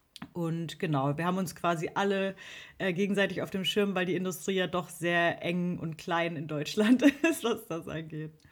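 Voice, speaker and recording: Speaking at a moderate pace, a woman with a plain, everyday voice uses a fairly low pitch and ordinary pitch variation. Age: 30s. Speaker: social media manager and musician. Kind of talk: interview. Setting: video call.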